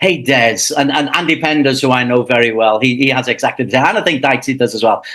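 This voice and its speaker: Over noticeable background noise, a man with a Liverpool accent speaks at a medium pitch with ordinary pitch variation. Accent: Liverpool English (Scouse). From England, Liverpool. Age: 60s. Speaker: football commentator. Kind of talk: casual interview. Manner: halting, many restarts.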